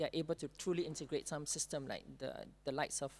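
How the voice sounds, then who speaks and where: A woman with a Singaporean accent speaks very fast in a very deep, low voice, her intonation fairly even. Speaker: panelist. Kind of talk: panel discussion.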